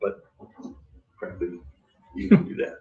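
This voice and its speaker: A man talking at a very fast pace. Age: 60s. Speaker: mastermind group member sharing business story. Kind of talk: personal storytelling to a group. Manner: animated.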